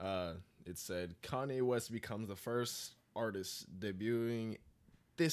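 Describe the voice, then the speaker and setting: This man has an ordinary speaking voice, fairly low in pitch, with ordinary pitch variation and a fairly slow pace. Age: 20s. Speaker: podcast co-host. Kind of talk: casual chat.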